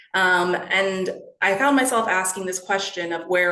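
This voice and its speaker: Audible room echo colors the voice. Its intonation is fairly even. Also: woman. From Canada, Toronto. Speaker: education researcher. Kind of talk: lecture. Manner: hesitant, many fillers.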